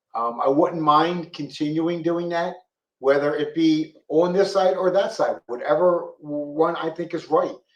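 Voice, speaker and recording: This man has a high pitch and a Philadelphia accent, speaking at a fairly slow pace with fairly even intonation. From Philadelphia, North Philly. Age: 60s. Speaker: police officer. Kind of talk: interview.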